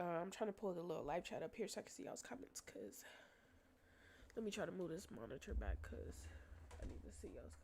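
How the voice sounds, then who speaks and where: The speech has an animated tone, runs at a very fast pace, and breaks into long, frequent pauses. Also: woman. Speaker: livestreamer. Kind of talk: casual livestream chat. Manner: casual, animated.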